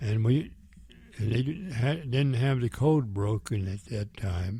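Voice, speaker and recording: Somewhat breathy and dark, mellow in tone, the man's voice shows ordinary pitch variation. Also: medium pitch for a man, fairly slow pace. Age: 90s. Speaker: war veteran. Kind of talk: oral history interview. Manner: halting.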